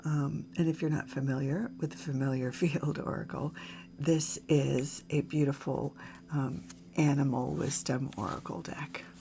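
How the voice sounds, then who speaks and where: A woman's very deep, low pitch with very wide pitch swings, a dark, mellow tone and vocal fry, all at a fairly slow pace. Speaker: tarot reader. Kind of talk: tarot reading. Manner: hesitant, many fillers.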